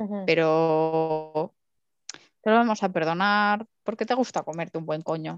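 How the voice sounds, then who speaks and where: A woman speaks in an unremarkable speaking voice with a fairly low pitch, ordinary pitch variation and a fairly slow pace, in a dry, close sound with no echo. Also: quiet background. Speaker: podcast co-host. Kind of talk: casual chat.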